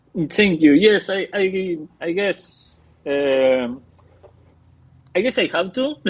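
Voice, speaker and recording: A man with a Spanish accent speaks in a high voice. His pace is very slow, with long, frequent pauses. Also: lively intonation. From Argentina. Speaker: comic book artist and writer. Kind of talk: interview. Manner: halting, many fillers and restarts.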